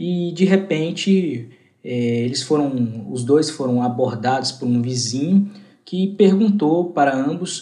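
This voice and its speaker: Very slow pace with ordinary pitch variation and audible room echo. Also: man. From Goiânia, Brazil. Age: 20s. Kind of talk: interview answer.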